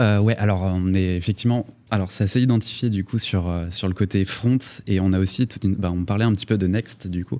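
A man talks at a fairly quick pace in a dark, mellow tone with a fairly low pitch and fairly even intonation. The recording is very clean, with a silent background. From Paris, France. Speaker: tech startup CTO. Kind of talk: panel discussion. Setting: studio.

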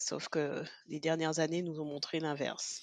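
Over a quiet background, a woman speaks at a very slow pace with a very deep, low pitch. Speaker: podcast co-host. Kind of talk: casual chat.

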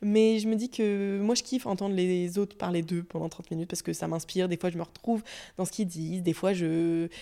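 A woman's dark, mellow voice at medium pitch, fairly quick, with fairly even intonation, on a very clean recording with a silent background. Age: 20s. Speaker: podcaster and content creator. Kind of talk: solo podcast monologue. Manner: casual, many hesitations.

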